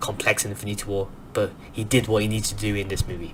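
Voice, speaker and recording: Amid noticeable background noise, a man with a fairly low pitch talks very fast in an animated tone. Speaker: movie review youtuber. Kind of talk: casual film review monologue. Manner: soft-spoken; animated, fast with many restarts.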